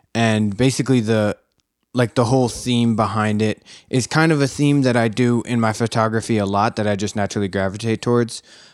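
Speaking fairly quickly with an American accent, a man uses a normal speaking voice at medium pitch and fairly even intonation, recorded very cleanly and dry, close up with no echo against a silent background. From Philadelphia. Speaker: photographer. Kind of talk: casual chat.

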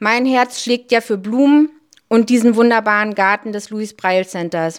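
At a fairly slow pace, a woman with a fairly high pitch speaks in an unremarkable speaking voice. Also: very clean recording, silent background. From Hamburg, Barmbek. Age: 40s. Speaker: volunteer, civil servant. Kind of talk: interview.

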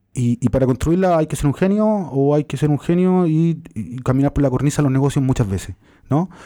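On a very clean recording with a silent background, a man with a Chilean accent talks at a fairly quick pace, his fairly high pitch carrying a dark, mellow tone and lively intonation. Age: 30s. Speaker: journalist and author. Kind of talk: interview.

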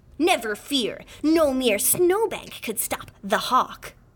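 A put-on character voice with a high pitch. It moves at a very slow pace. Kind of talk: grandiose. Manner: heroic, dramatic.

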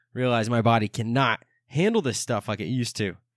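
A man in a normal speaking voice, medium in pitch, with ordinary pitch variation, a moderate pace and a quiet background. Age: 20s. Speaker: podcast host. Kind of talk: casual solo monologue.

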